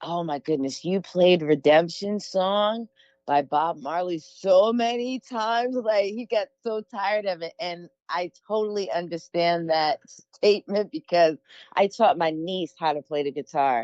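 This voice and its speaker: An unremarkable speaking voice from a woman, fairly low in pitch, with lively intonation and a fairly slow pace. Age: 40s. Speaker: singer-songwriter. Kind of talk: interview. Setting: audio interview.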